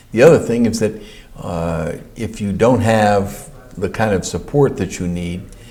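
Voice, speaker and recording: Against noticeable background noise, a man talks at a fairly slow pace with a fairly low pitch and ordinary pitch variation. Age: 60s. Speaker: county official. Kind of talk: interview. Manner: halting.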